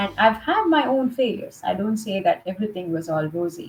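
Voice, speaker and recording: With an American accent, a woman talks at a moderate pace with lively intonation. Noticeable background noise can be heard. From India, Mumbai. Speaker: leadership trainer and coach. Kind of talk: interview.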